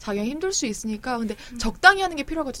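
A woman talking at a very fast pace with very wide pitch swings, amid noticeable background noise. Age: 30s. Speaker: young adult novelist. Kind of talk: casual chat.

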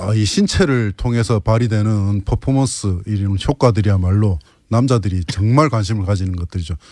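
A man's fairly low, dark, mellow voice at a moderate pace, with ordinary pitch variation and a dry, close sound with no echo. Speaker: mixed martial arts fighter. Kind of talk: interview. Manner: calm.

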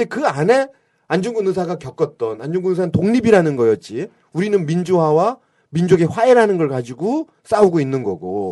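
This man has a high pitch and a dark, mellow tone. His pitch swings very widely at a moderate pace. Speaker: historical memorial association official. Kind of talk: radio interview. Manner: animated.

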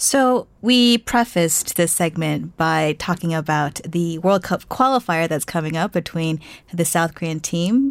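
This woman has an unremarkable speaking voice with an American accent and a fairly low pitch. She talks at a fairly slow pace with hardly any pauses and ordinary pitch variation. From United States. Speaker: radio host. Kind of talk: scripted news introduction; radio interview. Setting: studio.

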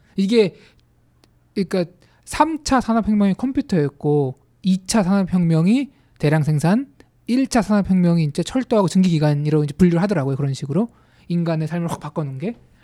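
The dark, mellow voice moves at a fairly quick pace with lively intonation, broken by long, frequent pauses. The sound is dry and close, with no echo. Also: man, high pitch for a man. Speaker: podcast co-host. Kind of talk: casual panel discussion on policy.

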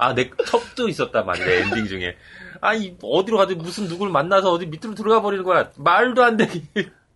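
Raising and projecting his voice, a man speaks high-pitched at a fairly quick pace with ordinary pitch variation. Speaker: podcast co-host. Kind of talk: casual chat.

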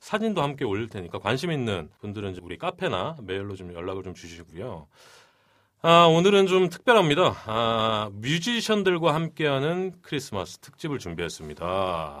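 Loudness varies widely as a man talks at a medium pitch and a moderate pace. His pitch swings very widely. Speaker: podcast host. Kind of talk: casual chat. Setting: studio. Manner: animated.

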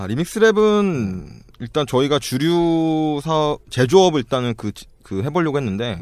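Very wide pitch swings mark this man's speech. The recording is very clean, with a silent background. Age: 30s. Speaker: startup founder. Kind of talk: casual chat.

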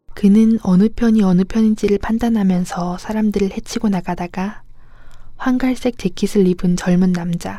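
A woman's voice comes through somewhat breathy, with a dark, mellow tone. Her intonation is fairly even. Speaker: audiobook narrator. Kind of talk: reading aloud.

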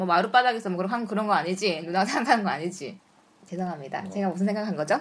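Talking at a very fast pace, a woman uses a medium pitch. Her pitch moves with ordinary variation. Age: 30s. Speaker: host. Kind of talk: casual chat.

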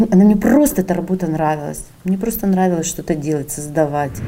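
Noticeable background noise behind a woman's voice of ordinary pitch variation. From Sakhalin, Russia. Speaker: entrepreneur. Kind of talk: interview.

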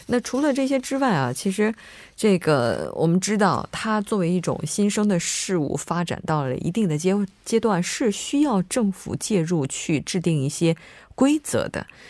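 At a moderate pace, a woman with a medium pitch speaks with very wide pitch swings. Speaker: radio host. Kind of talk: radio show hosting. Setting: studio.

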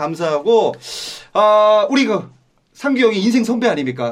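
A man talks at a moderate pace in a high voice. His tone is animated, with lively intonation. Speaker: podcast host. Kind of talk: casual chat.

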